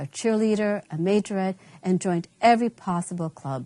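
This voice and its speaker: A woman speaks fairly quickly in a plain, everyday voice of medium pitch with ordinary pitch variation. The background is quiet. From Long Island, New York (born in Colombia). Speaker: teacher. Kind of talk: scripted narration. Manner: formal.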